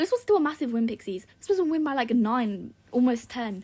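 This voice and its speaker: This woman's voice is high-pitched. She talks at a very fast pace. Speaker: gaming YouTuber. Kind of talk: casual gameplay commentary. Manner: sighing.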